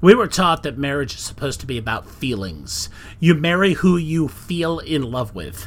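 Lively intonation with vocal fry at a moderate pace. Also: man. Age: 40s. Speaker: podcast host. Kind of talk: solo monologue podcast. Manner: casual, conversational with filler words.

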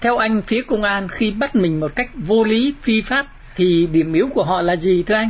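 This man speaks at a moderate pace with a high pitch and lively intonation. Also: very even loudness. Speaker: radio host. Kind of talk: interview. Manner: formal.

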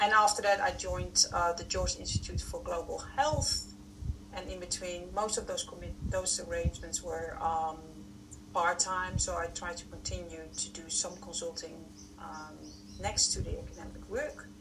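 A woman at a moderate pace, her loudness swinging widely, over noticeable background noise. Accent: strong Dutch. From Netherlands. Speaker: food science consultant and researcher. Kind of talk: casual interview.

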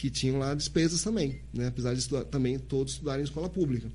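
The room echoes audibly around a man who keeps up a fairly quick pace. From Santos, São Paulo, Brazil. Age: 40s. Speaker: police chief and political candidate. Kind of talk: interview on live podcast. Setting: live-streamed studio.

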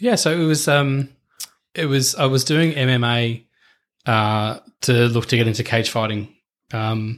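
Man with an Australian accent at a medium pitch, ordinary pitch variation and a fairly slow pace. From Australia, eastern suburbs of Melbourne. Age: 40s. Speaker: former police officer turned corporate leader. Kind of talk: casual interview chat. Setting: in person at host's house. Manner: halting, many repetitions.

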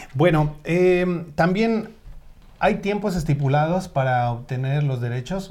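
With lively intonation and a somewhat breathy voice, a man talks at a fairly slow pace. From Mexico, State of Mexico. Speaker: online show host. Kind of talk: live talk show. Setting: Facebook live stream.

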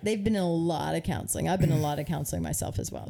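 Woman's voice with vocal fry and a dark, mellow tone. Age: 30s. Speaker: podcast co-host. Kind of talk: casual chat.

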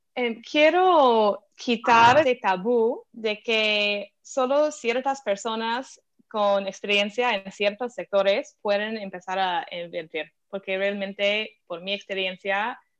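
Someone speaks very slowly in an American accent. The pitch varies in an ordinary way. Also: woman. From US, Philadelphia. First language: English (speaking Spanish). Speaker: venture capital investor. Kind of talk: interview. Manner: halting, with fillers.

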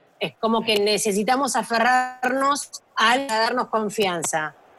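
With music in the background, a woman talks at a fairly slow pace with ordinary pitch variation. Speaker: daughter of a football coach. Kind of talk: casual chat.

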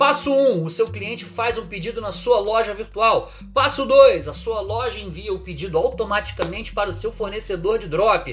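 With a Rio de Janeiro accent, a man speaks in an animated tone at a moderate pace with hardly any pauses. His loudness swings widely, over noticeable background noise. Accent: Carioca Brazilian Portuguese. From Brazil, Rio de Janeiro. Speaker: online marketing creator. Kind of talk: casual video monologue; reading from a script.

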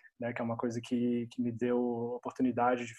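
The speaker is a man with medium pitch. His tone is dark and mellow. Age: 30s. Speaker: English teacher. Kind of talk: casual chat.

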